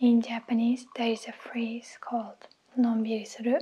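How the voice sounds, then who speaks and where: Soft-spoken and calm, a woman talks at a high pitch. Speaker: YouTuber doing sponsor reads. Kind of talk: sponsor read to camera. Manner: soft-spoken, calm. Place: kitchen. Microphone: lapel.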